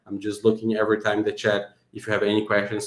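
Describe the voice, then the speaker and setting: This is a man speaking. His pitch sits fairly low. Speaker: software developer presenting his app. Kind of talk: product demo tutorial. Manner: fast.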